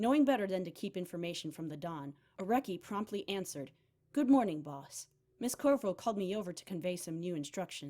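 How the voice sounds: Lively intonation in a natural reading voice.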